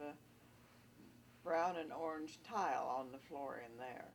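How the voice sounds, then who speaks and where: With a very deep, low pitch and ordinary pitch variation, a woman talks at a fairly slow pace amid audible room echo. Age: 80s+. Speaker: family member recounting memories. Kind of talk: casual reminiscing interview.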